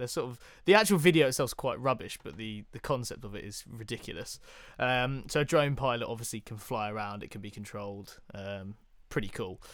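Recorded very cleanly against a silent background, a man with a British accent talks at a fairly quick pace and medium pitch, his intonation lively and his loudness swinging widely. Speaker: podcast co-host. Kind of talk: casual chat.

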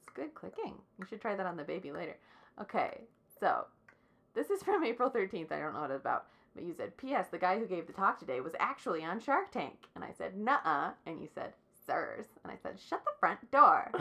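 A woman talks at a fairly quick pace, her loudness swinging widely. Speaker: podcast host. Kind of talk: casual chat. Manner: vocal fry.

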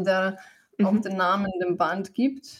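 A somewhat breathy voice with a Slovenian accent and fairly even intonation. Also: woman. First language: Slovenian (speaking German). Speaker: musician and poet. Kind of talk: interview. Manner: halting.

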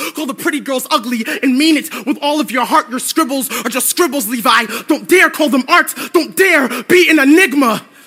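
Music plays in the background as a man speaks in a raised, projected voice at an extremely high pitch. He hardly pauses at all. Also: ordinary pitch variation, moderate pace. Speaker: spoken word poet. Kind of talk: spoken word performance poem, history-laden indictment of psychiatry. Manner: measured, declamatory, righteous crescendo.

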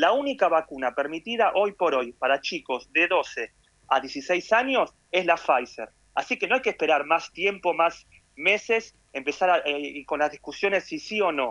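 A man speaks at a fairly slow pace in a high, bright, sharp voice with very wide pitch swings. The sound is dry and close, with no echo. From Argentina. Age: 40s. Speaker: emergency physician. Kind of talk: interview.

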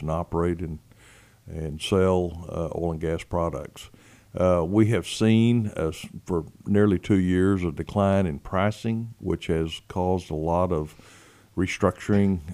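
With a West Texas accent, a man speaks at a fairly slow pace in a very deep, low pitch and a dark, mellow tone. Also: very clean recording, silent background. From West Texas, San Angelo. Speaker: state legislator. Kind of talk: interview. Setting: studio. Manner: hesitant, many fillers.

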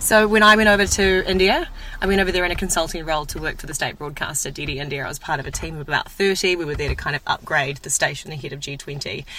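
A woman's fairly low voice at a very fast pace with hardly any pauses, ordinary pitch variation, big swings in loudness and noticeable background noise. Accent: New Zealand. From New Zealand. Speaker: broadcaster, media personality. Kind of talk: casual chat.

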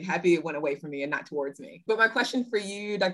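This woman has a normal speaking voice. Her pitch sits in the medium range and varies in an ordinary way. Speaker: university admissions advisor. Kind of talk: casual interview.

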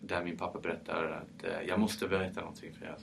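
A man is speaking. His pace is fairly quick. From France, Paris. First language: French (speaking Swedish). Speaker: champagne producer. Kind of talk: interview.

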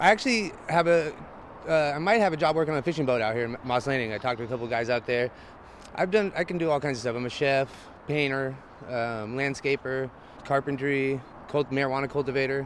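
A man speaks in a normal speaking voice with an American accent. His pitch is fairly high, with ordinary pitch variation. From Northern California. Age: 30s. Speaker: homeless camp resident. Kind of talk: street interview. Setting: outdoors.

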